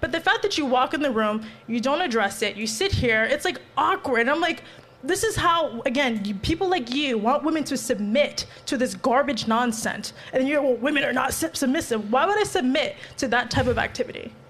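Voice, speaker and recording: Over noticeable background noise, a high-pitched woman talks at a fairly quick pace with lively intonation and very even loudness. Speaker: panel guest. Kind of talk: heated debate.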